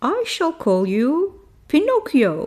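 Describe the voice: A woman's put-on character voice, high-pitched and slow, with very wide pitch swings and a slightly mellow tone.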